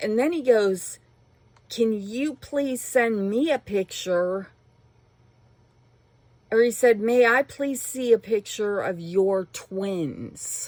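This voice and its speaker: A woman uses a put-on character voice that is shrill and fairly high-pitched. She talks very slowly, with long, frequent pauses. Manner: outraged.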